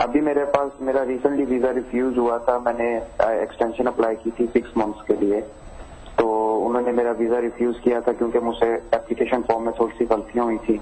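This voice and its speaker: Over noticeable background noise, a man speaks at a medium pitch in a monotone, flat way. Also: moderate pace. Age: 20s. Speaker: caller. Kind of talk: phone call question. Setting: phone call.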